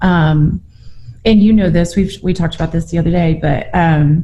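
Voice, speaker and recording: A woman speaks at a moderate pace in a fairly low voice. Her pitch varies in an ordinary way. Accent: Southern Plains US. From Oklahoma panhandle. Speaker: rancher. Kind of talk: casual chat. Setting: podcast interview.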